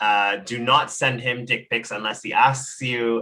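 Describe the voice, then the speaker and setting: A man speaks very slowly, his pitch sitting in the medium range. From Trinidad. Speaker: talk show host. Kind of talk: interview.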